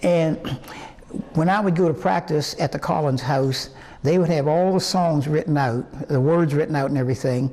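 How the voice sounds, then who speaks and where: In an American accent, a man speaks at a fairly high pitch. His tone is dark and mellow. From West Virginia. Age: 80s+. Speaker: singer. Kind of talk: interview. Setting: museum. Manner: halting.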